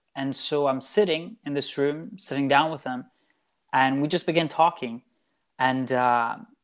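The very clean recording, with a silent background, captures a man speaking at a moderate pace in a fairly high pitch. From Italy, moved to Orlando, Florida at seven. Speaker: podcast guest. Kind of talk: storytelling interview. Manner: hesitant, many fillers.

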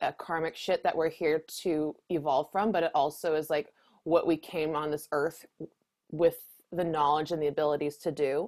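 On a very clean recording with a silent background, a woman speaks at a fairly slow pace. Her pitch is fairly low and her intonation fairly even. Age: 30s. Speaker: astrologer. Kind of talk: casual chat.

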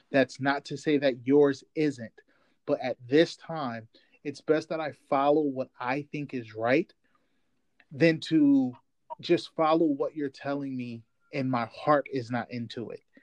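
Recorded dry and close with no echo, a man with a fairly high pitch and an unremarkable speaking voice talks at a fairly slow pace, with fairly even intonation and big swings in loudness. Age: 30s. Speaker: podcast co-host. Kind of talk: casual chat.

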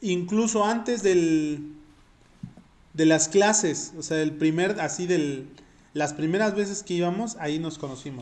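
The pitch rises and falls in an ordinary way. There is audible echo from the room. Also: man, high pitch for a man, fairly slow pace. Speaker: podcast co-host. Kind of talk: casual chat.

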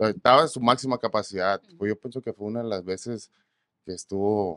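A man talks in an ordinary speaking voice at a fairly quick pace, his pitch fairly low with ordinary variation. The sound is dry and close, with no echo. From Mexico, Ensenada, Baja California. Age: 30s. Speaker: musician, requinto guitarist. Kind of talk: casual chat. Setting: studio.

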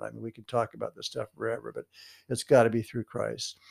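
A man at a very fast pace, in a very clean recording with a silent background and a dry, close sound with no echo. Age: 70s. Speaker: podcast host. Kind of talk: casual chat. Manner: halting.

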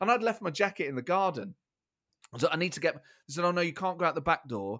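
Very wide pitch swings mark this very fast speech in an East Midlands accent, captured on a very clean recording with a silent background. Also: man. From England, Nottingham. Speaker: comedian and podcast host. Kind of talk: interview conversation.

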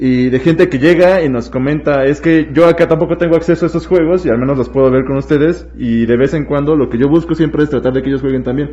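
The dark, mellow voice races along at a very fast pace with fairly even intonation. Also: man, fairly high pitch for a man. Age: 20s. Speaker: board game content creator. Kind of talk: casual chat.

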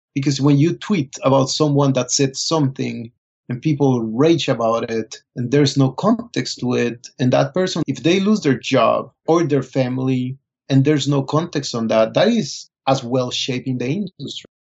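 A somewhat breathy man's voice of medium pitch with a Spanish accent, moderate pace and ordinary pitch variation. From Colombia. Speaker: fashion photographer. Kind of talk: interview.

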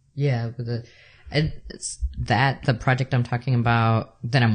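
A somewhat breathy man at a moderate pace. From El Salvador. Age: 30s. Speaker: photographer and artist. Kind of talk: interview conversation. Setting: at the host's home.

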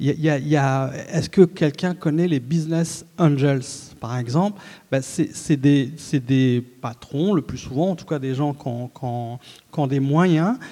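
This man talks very slowly in a fairly high voice with ordinary pitch variation. His tone is dark and mellow. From Algeria (Oran), moved to France at 9. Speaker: journalist and literary critic, novelist. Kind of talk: panel talk at a literary festival. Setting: stage with live audience. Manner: halting, frequent word repetitions.

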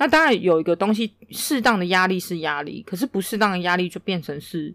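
A woman with a plain, everyday voice speaks at a medium pitch and a moderate pace. Her intonation is lively. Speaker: podcast co-host. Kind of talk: casual chat.

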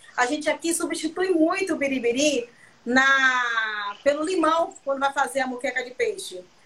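A woman projects a raised voice with a high pitch and a bright, sharp tone. Her intonation is lively, and her pace is moderate. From Brazil, southern Bahia. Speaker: chef. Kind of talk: cooking live stream chat. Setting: video call.

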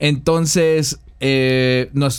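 Fairly even intonation from a man with a fairly high voice. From Mexico, San Luis Potosí. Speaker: podcast host. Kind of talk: casual chat.

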